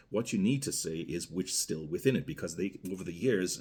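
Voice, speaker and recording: A man with a Guyanese accent talks at a very fast pace, his intonation lively. His pitch sits very deep and low. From Guyana. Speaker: rum reviewer. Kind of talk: product review, casual monologue. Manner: conversational, with fillers and self-corrections.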